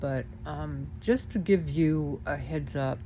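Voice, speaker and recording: The voice has an American accent, a dark, mellow tone and vocal fry. Its pitch swings very widely, with audible room echo. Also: woman. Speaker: vlogger. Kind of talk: casual complaint vlog. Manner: hesitant, many fillers.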